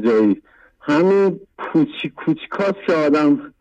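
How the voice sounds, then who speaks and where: Speaking at a very slow pace, a man uses a high pitch and a dark, mellow tone. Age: 40s. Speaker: caller. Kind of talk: testimony. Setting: phone call.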